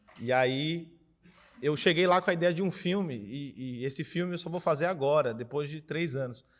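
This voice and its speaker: A man uses a normal speaking voice at a fairly high pitch and a moderate pace. The recording is very clean, with a silent background. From Brazil, Cubatão, São Paulo coast. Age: 20s. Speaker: filmmaker and philosophy teacher. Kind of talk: panel discussion. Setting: screening venue with audience.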